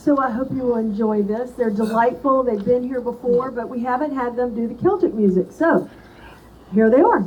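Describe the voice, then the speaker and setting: A woman speaks loudly at a high pitch and a moderate pace, with ordinary pitch variation. Noticeable background noise sits under her voice. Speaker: event host. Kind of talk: introduction.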